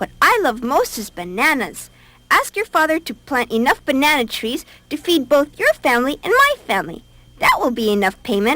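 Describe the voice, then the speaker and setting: A female-sounding put-on character voice is pitched high. It moves at a moderate pace. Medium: read story. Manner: chattering.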